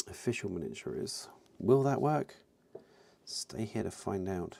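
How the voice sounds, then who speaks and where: A man with a British accent and lively intonation. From UK. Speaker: miniature painting streamer. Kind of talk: casual live-stream chat while painting. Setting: live stream.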